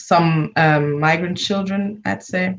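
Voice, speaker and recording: A woman with a German accent speaks at a fairly slow pace in a fairly low pitch, her intonation fairly even. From Germany. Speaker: university student. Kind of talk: interview. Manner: halting.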